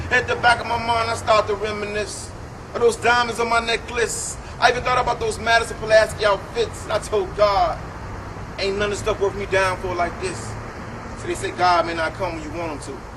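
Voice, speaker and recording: Against noticeable background noise, a man with an American accent and a high pitch talks at a fairly quick pace with ordinary pitch variation. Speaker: spoken word artist. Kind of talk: spoken word poetry performance.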